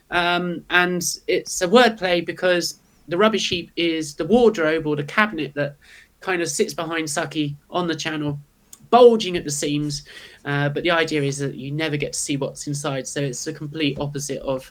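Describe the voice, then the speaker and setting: A woman speaks with a British accent. Her pitch sits very deep and low. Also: ordinary pitch variation, moderate pace. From UK. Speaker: YouTuber and manga artist. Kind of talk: casual chat. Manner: hesitant, many fillers.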